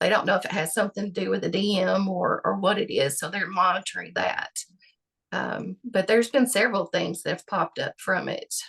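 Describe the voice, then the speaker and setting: Speaking at a fairly quick pace, a woman is captured in a dry, close sound with no echo. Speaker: patient with chronic illness. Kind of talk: interview testimony. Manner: halting, many fillers.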